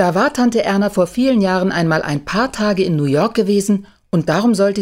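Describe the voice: Someone gives a plain reading aloud.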